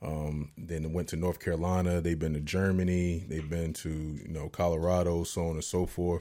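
With an American accent, a man talks at a moderate pace with hardly any pauses, his very deep, low voice monotone and flat, on a very clean recording with a silent background. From Virginia, Newport News. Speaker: entrepreneur, former college athlete. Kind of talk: casual interview.

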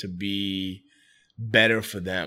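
A man's fairly low, bright, sharp voice with a New York accent at a very slow pace, in a very clean recording with a silent background. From New York City, the Bronx. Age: 30s. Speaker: entrepreneur and restaurant owner. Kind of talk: casual interview.

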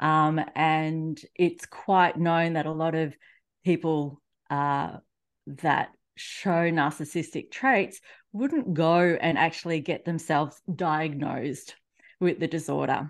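Against a quiet background, a woman with an Australian accent speaks at a very slow pace. Her pitch is very deep and low, and her intonation fairly even. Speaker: relationship coach. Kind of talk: casual interview.

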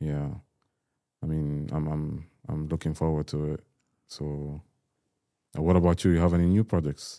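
A man with an Arabic accent, very deep, low pitch, dark, mellow tone, fairly even intonation, long, frequent pauses. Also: moderate pace. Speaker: podcast host. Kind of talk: casual interview.

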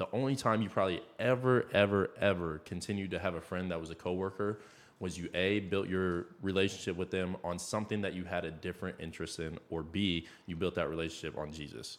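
A man's very deep, low voice with an American accent and ordinary pitch variation. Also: fairly quick pace, very clean recording, silent background. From Iowa, US Midwest. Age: 20s. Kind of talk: casual faith discussion.

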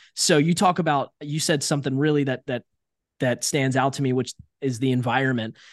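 A man with an American accent talks in a plain, everyday voice at a fairly high pitch with fairly even intonation. The sound is dry and close with no echo, over a quiet background. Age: 30s. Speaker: entrepreneur and sales coach. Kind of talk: casual interview chat. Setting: remote call from his apartment.

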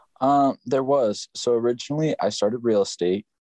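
A man's dark, mellow tone comes through against a quiet background. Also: dry, close sound with no echo. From Upland, California. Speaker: full-time worker. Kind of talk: casual chat.

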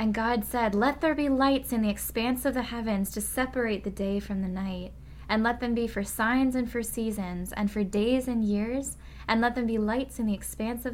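A woman speaks at a moderate pace in a plain, everyday voice, fairly high in pitch, with fairly even intonation. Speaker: podcast host and researcher. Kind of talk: scripture reading; solo podcast monologue. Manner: conversational, thoughtful.

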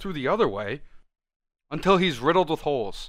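A man's fairly high voice with vocal fry and lively intonation at a very fast pace, on a very clean recording with a silent background. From Italian heritage. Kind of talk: casual chat.

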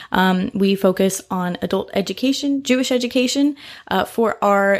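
Lively intonation carries a woman's medium-pitched voice with an American accent. The recording is very clean, with a silent background. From US Midwest, Indianapolis, Indiana. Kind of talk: solo podcast monologue. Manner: animated.

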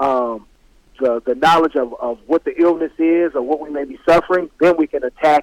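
A man speaks at a moderate pace and a fairly high pitch with ordinary pitch variation, in a plain, everyday voice, the sound dry and close with no echo. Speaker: football player. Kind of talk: casual interview.

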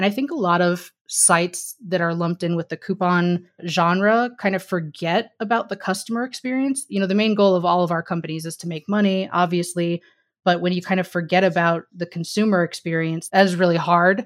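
Fairly quick, nearly pause-free speech from a woman with an American accent, fairly low in pitch with fairly even intonation, on a very clean recording with a silent background. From Missouri. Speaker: partnerships director. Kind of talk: casual chat.

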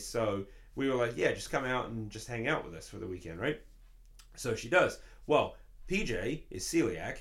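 In an English accent, a man speaks with big swings in loudness and audible room echo. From London, England. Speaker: musician. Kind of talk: casual chat.

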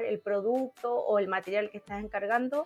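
A woman speaks at a moderate pace. She has a Chilean accent. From Chile, Villa Alemana. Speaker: crafter. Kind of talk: casual chat.

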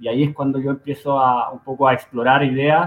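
The speaker is a man at a medium pitch. His pace is moderate. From Santiago, Chile (Conchalí, north Santiago). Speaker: fintech co-founder. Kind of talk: interview. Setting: studio. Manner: halting.

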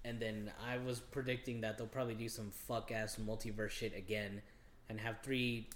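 Here a man with an ordinary speaking voice talks at a fairly quick pace and a medium pitch. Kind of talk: casual podcast chat.

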